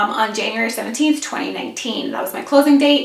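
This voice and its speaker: Audible room echo fills the space. A woman talks with ordinary pitch variation. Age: 30s. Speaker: vlogger. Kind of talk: casual vlog. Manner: rambling, casual.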